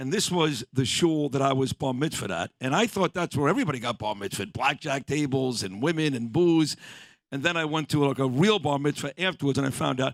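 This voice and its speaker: Fairly high for a man, this voice carries a New York accent and lively intonation. He talks at a fairly quick pace on a very clean recording with a silent background. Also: dry, close sound with no echo. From Brooklyn, New York. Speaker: radio host. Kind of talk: casual chat.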